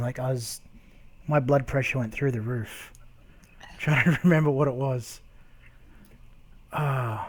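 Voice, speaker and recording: Speaking at a moderate pace with fairly even intonation, a man with an Australian accent has a fairly high pitch. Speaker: YouTuber. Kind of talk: casual chat.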